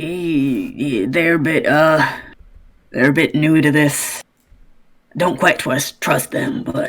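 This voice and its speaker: A raspy, put-on character voice at a middle pitch. It moves at a very slow pace. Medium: actual play. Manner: gruff, wary.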